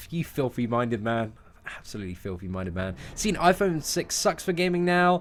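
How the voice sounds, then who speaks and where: Very wide pitch swings and an animated tone from a man at a medium pitch. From London, England. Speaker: gaming streamer. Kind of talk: live stream chat answering viewers. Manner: fast; casual, animated.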